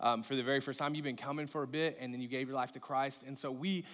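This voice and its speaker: Against a quiet background, a man is talking. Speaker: pastor. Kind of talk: sermon. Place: stage.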